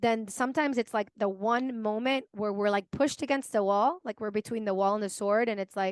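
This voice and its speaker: A woman talks with ordinary pitch variation. The sound is dry and close, with no echo. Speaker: podcast host. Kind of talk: casual interview chat. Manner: conversational, many filler words.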